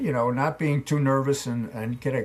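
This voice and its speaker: The voice is somewhat breathy. It moves at a fairly slow pace. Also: man. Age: 80s+. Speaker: former pro cyclist and coach. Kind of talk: interview answer.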